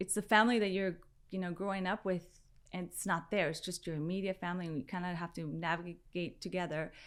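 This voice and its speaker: This woman has a Spanish accent and a medium pitch. The recording is very clean, with a silent background. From San Diego, California (from age five, born in Mexico). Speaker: fashion entrepreneur. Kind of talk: interview.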